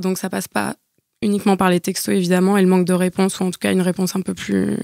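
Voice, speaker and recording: A woman speaks at a medium pitch in a dry, close sound with no echo. The recording is very clean and the background silent. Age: 30s. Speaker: podcast guest sharing dating experiences. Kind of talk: casual chat.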